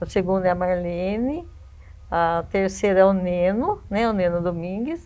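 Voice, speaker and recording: A woman speaks in a medium pitch with a dark, mellow tone. Her pace is fairly slow and her intonation fairly even. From Brazil, Iperó, São Paulo state. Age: 60s. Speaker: local resident, family history researcher. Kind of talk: interview. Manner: halting.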